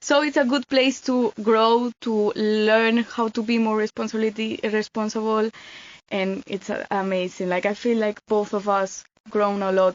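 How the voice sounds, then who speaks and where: Fairly even intonation in a Spanish accent at a moderate pace. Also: woman, fairly high pitch for a woman. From Spain, Mallorca. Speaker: volunteer. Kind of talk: casual chat.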